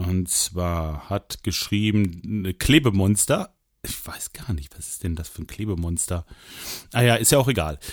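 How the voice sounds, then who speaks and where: On a very clean recording with a silent background, a man speaks with a very deep, low pitch and lively intonation. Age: 40s. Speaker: solo podcaster. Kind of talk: casual monologue. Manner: hesitant, many fillers.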